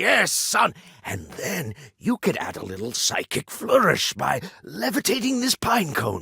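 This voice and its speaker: A put-on character voice comes through at a fairly slow pace, with a dry, close sound and no echo. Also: man, fairly high pitch for a man. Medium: video game. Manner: jovial, upbeat.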